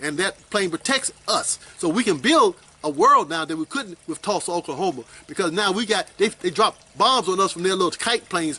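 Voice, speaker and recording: Over noticeable background noise, a man with a high pitch speaks at a moderate pace in a raised, projected voice with lively intonation. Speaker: Nation of Islam teacher. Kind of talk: religious lecture answering questions.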